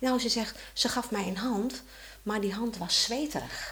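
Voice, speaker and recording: A woman's voice at a very slow pace, with ordinary pitch variation. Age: 60s. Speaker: mother of four. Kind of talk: casual chat.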